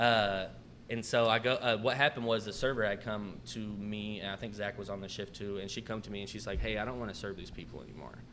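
A man talks at a very fast pace with a bright, sharp tone. His intonation stays fairly even. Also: fairly low pitch for a man, big swings in loudness. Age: 20s. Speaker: restaurant manager. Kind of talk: casual chat.

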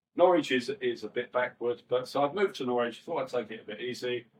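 With a Cockney accent, a man talks at medium pitch. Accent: London Cockney. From East London, West Ham. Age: 60s. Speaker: rave promoter. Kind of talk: casual interview. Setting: studio with live audience.

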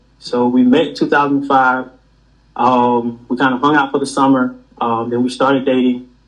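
A man talks in a strong rural Georgia accent. His pitch is fairly high. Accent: heavy rural Georgia. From US South, small-town Georgia. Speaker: university professor. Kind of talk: casual interview. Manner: calm.

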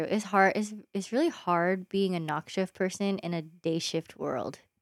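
This woman has an unremarkable speaking voice at medium pitch with ordinary pitch variation. She talks at a fairly slow pace on a very clean recording with a silent background. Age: 20s. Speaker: nurse. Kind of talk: casual chat.

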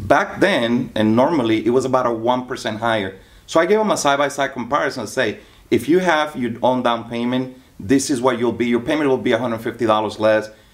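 Speaking at a fairly quick pace, a man uses an ordinary speaking voice with medium pitch and ordinary pitch variation. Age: 40s. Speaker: loan officer. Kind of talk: casual interview.

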